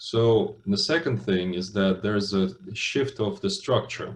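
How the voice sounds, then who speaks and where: With a Russian accent, a man talks at a moderate pace in a fairly low, somewhat breathy voice with lively intonation. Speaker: business school lecturer. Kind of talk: lecture. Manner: hesitant, many fillers.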